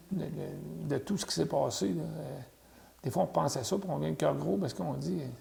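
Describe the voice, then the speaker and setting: A man at a moderate pace with a Quebec accent. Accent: Québécois French. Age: 60s. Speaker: interviewee sharing family history. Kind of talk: oral history interview.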